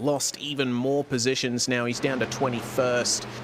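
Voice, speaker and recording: A man speaks at a very slow pace in a medium pitch with fairly even intonation. Noticeable background noise is present. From Australia, Perth. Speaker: sim racing commentator. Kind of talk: live commentary.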